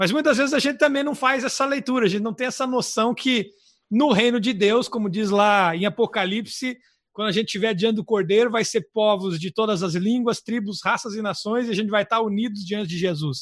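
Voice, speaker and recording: Speaking fairly quickly, a man uses a high pitch with ordinary pitch variation. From southern Brazil. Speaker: missionary podcast co-host. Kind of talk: casual religious chat.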